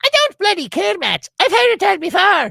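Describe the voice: A man puts on a squeaky character voice with an Irish accent, pitched extremely high. His pitch swings very widely as he speaks at a moderate pace.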